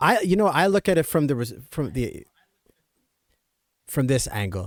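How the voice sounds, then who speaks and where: In a very clean recording with a silent background, a man speaks at a fairly slow pace, his pitch swinging very widely. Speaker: stream host. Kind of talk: casual interview chat.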